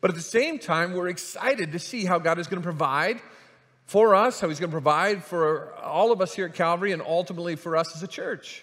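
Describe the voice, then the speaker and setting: A man speaks at a fairly quick pace in a high pitch, with ordinary pitch variation. The background is quiet. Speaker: pastor. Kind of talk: sermon. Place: church. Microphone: headset.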